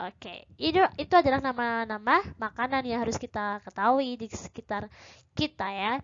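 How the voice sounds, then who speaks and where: A woman's fairly high voice with ordinary pitch variation over a quiet background. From Indonesia. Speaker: English teacher. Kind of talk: lecture. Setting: recorded online class video. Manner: slow. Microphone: webcam.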